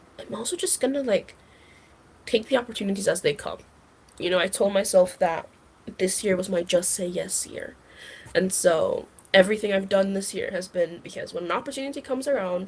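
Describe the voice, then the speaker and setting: A woman talks at a fairly quick pace with ordinary pitch variation and a somewhat breathy sound, broken by long, frequent pauses. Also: medium pitch for a woman. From Jamaica. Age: 20s. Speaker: recent university graduate. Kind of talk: podcast interview. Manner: casual, filler-heavy (like, um, you know).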